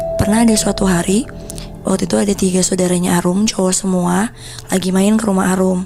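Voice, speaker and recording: The speech moves at a very fast pace with very even loudness and fairly even intonation while music plays in the background. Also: woman, medium pitch for a woman. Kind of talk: casual horror storytelling to camera, told conversationally. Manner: conversational, informal Jakarta-style slang.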